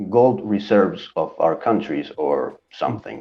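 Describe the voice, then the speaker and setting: Music plays in the background as a man speaks with a Spanish accent. His pitch is fairly low and his pace very slow. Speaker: comic book YouTuber, co-host. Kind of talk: casual chat.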